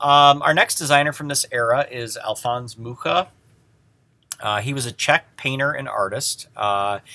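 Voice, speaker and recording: A bright, sharp tone in a Midwestern American accent, at a moderate pace, with ordinary pitch variation and big swings in loudness, on a very clean recording with a silent background. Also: man, medium pitch for a man. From US Midwest. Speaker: design history teacher. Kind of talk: lecture. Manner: halting, many fillers.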